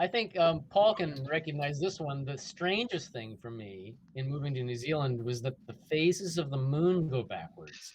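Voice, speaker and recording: A man with a Californian accent speaks at a moderate pace with hardly any pauses. His fairly high voice is somewhat breathy. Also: lively intonation. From Canada, then California. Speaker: robot hobbyist. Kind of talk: casual chat. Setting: video call.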